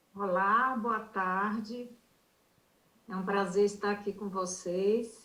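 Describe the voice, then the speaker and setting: At a very slow pace, a woman speaks with fairly even intonation. Her pitch sits in the medium range. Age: 70s. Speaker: music therapist. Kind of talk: panel talk.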